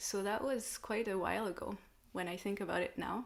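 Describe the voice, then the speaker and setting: A woman's voice with a French accent. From France. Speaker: light language channel and sound healer. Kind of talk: live online discussion.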